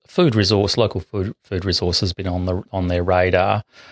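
A man with an Australian accent speaks in a very deep, low voice. His intonation stays flat and monotone, with a dry, close sound, no echo and a quiet background. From South Australia, west coast country towns. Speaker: urban ecologist, bat expert. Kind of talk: interview. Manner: halting, many fillers.

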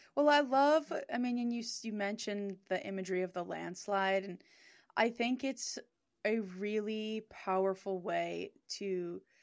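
A woman's ordinary speaking voice at medium pitch, a fairly slow pace, in a very clean recording with a silent background. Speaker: songwriter and music producer. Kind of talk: casual chat.

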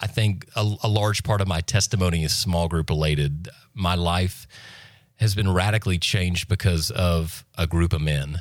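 A man's very deep, low voice with an American accent, fairly even in intonation and very even in loudness, at a moderate pace, on a very clean recording with a silent background. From US South, Florida Panhandle. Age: 30s. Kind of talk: testimony.

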